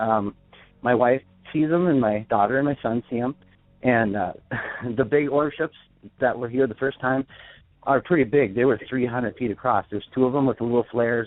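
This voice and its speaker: Pausing long and often, a man talks at a fairly quick pace in a medium pitch with ordinary pitch variation. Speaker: caller. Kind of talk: phone call-in testimony. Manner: fast; halting.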